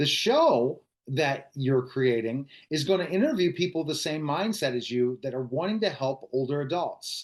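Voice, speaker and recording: An ordinary speaking voice, its pitch varying in an ordinary way. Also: man, fairly high pitch for a man, moderate pace, quiet background. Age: 40s. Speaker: podcast interviewer. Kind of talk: casual chat.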